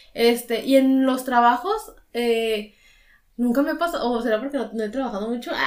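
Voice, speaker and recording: The pace is fairly slow. A woman speaks in a high pitch. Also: ordinary pitch variation. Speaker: podcast co-host. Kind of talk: casual chat.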